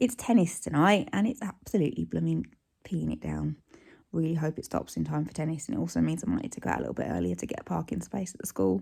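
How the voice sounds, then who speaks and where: This woman has a British accent. She speaks at a very fast pace. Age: 40s. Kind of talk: casual vlog talk to camera.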